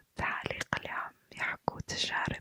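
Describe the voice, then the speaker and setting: Very slow whispering from a woman, dry and close with no echo. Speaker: ASMR creator. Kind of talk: ASMR night chat. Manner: whispered, soft-spoken.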